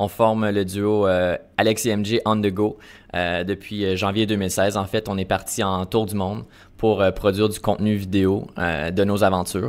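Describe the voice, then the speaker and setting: A man with a Canadian French accent at a fairly low pitch, moderate pace and monotone, flat intonation, in a very clean recording with a silent background. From Canada, Ottawa region. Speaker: travel filmmaker. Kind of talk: interview. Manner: hesitant, many fillers.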